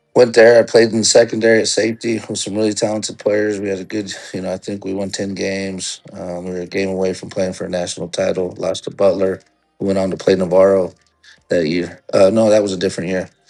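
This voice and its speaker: A man with fairly low pitch races along at a very fast pace in a monotone, flat intonation, his loudness swinging widely as music plays in the background. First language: Spanish. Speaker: junior college football head coach. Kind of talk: casual interview.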